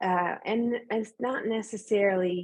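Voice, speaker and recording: A woman speaks with a Newfoundland accent at a medium pitch. The background is quiet. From rural Atlantic Canada. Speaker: author. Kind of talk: panel discussion.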